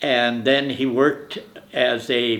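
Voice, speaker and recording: A man with an American accent, medium in pitch, with monotone, flat intonation. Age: 80s+. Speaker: grandparent interviewee. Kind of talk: family oral history interview.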